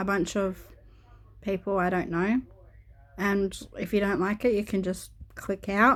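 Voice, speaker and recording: A woman speaks with an Australian accent at medium pitch. Her intonation is monotone and flat on a very clean recording with a silent background. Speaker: YouTuber. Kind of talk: casual vlog talk. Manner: hesitant, many filler words.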